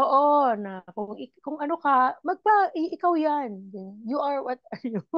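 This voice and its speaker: Over a quiet background, a woman speaks at a fairly slow pace with a high pitch and very wide pitch swings, the sound dry with no echo. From Philippines. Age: 40s. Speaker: podcast co-host. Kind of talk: casual chat. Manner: laughs often. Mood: playful, laughing. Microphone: earbuds.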